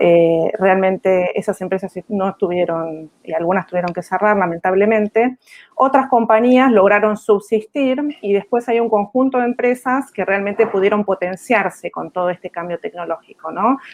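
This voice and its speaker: In an Argentine accent, a woman speaks at a moderate pace and medium pitch with ordinary pitch variation and hardly any pauses. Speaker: executive recruiter. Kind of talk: panel discussion.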